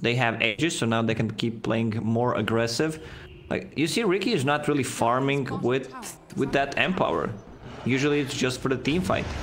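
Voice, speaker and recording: Against noticeable background noise, a man with a medium pitch speaks at a moderate pace, with ordinary pitch variation and very even loudness. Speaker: esports co-commentator. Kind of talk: live esports commentary, analysis. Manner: analytical, conversational.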